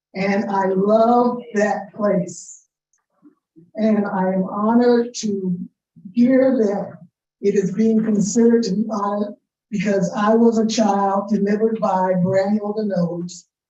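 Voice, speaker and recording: Speaking very slowly in an American accent, a woman with a dark, mellow, somewhat breathy tone uses flat, monotone intonation and long, frequent pauses. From South Florida (Deerfield Beach). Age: 60s. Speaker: public commenter at city meeting. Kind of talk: public comment testimony. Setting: city commission meeting chamber.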